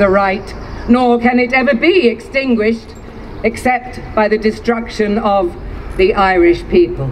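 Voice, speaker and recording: A woman with a high voice speaks in a passionate tone with lively intonation. Noticeable background noise runs underneath. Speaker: actress. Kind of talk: public reading of a historic proclamation. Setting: outdoors. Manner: powerful, passionate.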